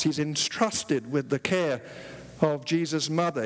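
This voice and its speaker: A man with a fairly high pitch and a British accent. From England. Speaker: visiting preacher. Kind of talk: sermon. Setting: church with congregation. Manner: humorous, jokes with audience.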